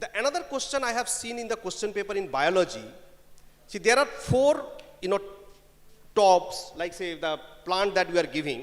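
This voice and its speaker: A man's high-pitched voice with a Bengali accent, lively intonation and a fairly quick pace broken by long, frequent pauses. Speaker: panelist at HR conclave. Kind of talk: panel discussion. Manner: code-switching Bengali and English.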